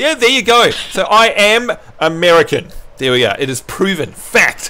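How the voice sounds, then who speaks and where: A man with a New Zealand accent and very wide pitch swings. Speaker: gaming livestreamer. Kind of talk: casual chat. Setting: livestream with voice chat. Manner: animated.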